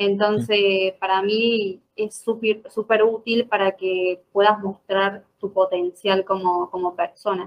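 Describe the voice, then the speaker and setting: In an Argentine accent, a woman speaks at a very slow pace with monotone, flat intonation. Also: medium pitch for a woman. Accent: Argentine Spanish (voseo). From Argentina, Jujuy (north). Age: 20s. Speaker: law student and political activist. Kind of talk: interview conversation.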